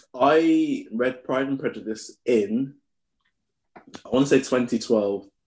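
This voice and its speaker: Very slow speech from a man at medium pitch, with ordinary pitch variation and big swings in loudness. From Birmingham, England. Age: 30s. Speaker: podcast co-host. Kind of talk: casual chat.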